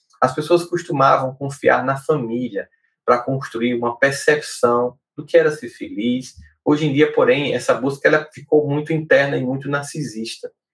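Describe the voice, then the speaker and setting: A man's somewhat breathy, fairly high voice at a moderate pace, with fairly even intonation. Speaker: podcast host and psychologist. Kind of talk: solo talk on emotional life. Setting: live stream video podcast.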